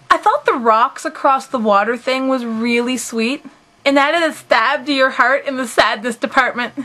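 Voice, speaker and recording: Against noticeable background noise, a woman in a raised, projected voice speaks at a moderate pace with a high pitch and ordinary pitch variation. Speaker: anime reviewer. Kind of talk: casual talk to camera.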